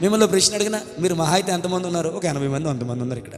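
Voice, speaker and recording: There is audible room echo and noticeable background noise. Through it, a man speaks with lively intonation. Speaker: pastor. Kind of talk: sermon. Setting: church with congregation. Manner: loud, shouting.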